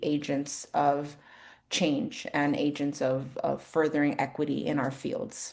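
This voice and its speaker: With a Spanish accent, a woman talks at a very deep, low pitch. Her pace is fairly slow. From New York City. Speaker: speech language pathologist. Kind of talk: workshop presentation.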